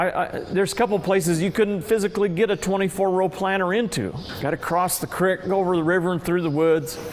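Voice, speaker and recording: A man talks at a very fast pace with an American accent, his pitch high and his intonation fairly even. Noticeable background noise runs under his voice. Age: 60s. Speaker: farmer. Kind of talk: recorded interview. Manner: halting.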